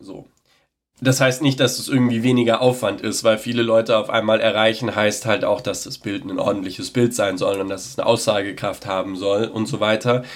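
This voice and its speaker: Fairly quick and fairly even in intonation, a man at medium pitch has an ordinary speaking voice. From Baden-Württemberg, Sindelfingen. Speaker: local politician. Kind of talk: interview.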